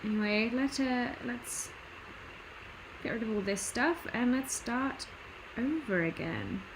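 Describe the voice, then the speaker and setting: With a British accent, a woman speaks at a fairly high pitch and a fairly slow pace, with ordinary pitch variation, long, frequent pauses, audible room echo and noticeable background noise. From Britain. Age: 20s. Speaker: artist streamer. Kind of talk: casual livestream commentary while drawing. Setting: home livestream. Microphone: computer built-in mic, poor audio quality.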